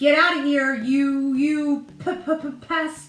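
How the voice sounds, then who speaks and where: A woman puts on a character voice. It is pitched high. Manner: fierce, barking, stuttering.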